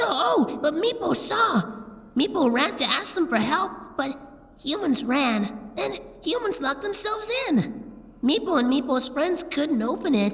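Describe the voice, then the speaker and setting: Over light background noise, a high-pitched put-on character voice speaks at a moderate pace with long, frequent pauses. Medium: audio drama.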